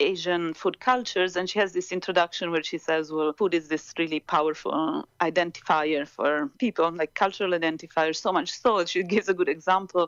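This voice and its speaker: With an Italian accent, a woman speaks fairly quickly at a fairly low pitch, with ordinary pitch variation and hardly any pauses. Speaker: professor. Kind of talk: interview. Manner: hesitant, many fillers.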